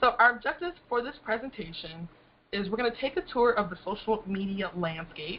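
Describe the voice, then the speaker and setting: Very fast female speech at medium pitch. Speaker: social media marketing trainer. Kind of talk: online training presentation.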